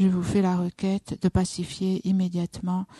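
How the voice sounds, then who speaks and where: Woman's calm, dark, mellow, somewhat breathy voice at a medium pitch and fairly slow pace, dry and close with no echo over a quiet background. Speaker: Buddhist nun leading meditation. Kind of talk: guided meditation. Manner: slow, calm, measured, with pauses.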